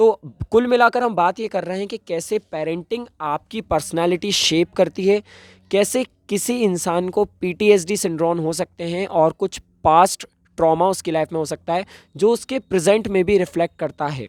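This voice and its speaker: This man speaks in a high voice with ordinary pitch variation. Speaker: YouTuber and event anchor. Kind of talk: casual explainer vlog. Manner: hesitant fillers.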